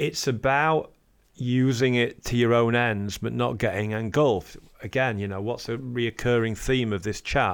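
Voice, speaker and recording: The recording is very clean, with a silent background. A man speaks with a Yorkshire accent and fairly even intonation. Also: medium pitch for a man, moderate pace. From northern England, Sheffield. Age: 40s. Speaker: musician and record label founder. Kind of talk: interview.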